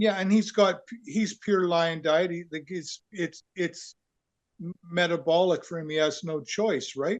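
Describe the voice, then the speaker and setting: A man talks at a fairly slow pace in a western Canadian accent, his pitch high. The sound is dry and close, with no echo. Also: ordinary pitch variation. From Canada, southern Alberta. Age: old. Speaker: program member, patient. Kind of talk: casual chat.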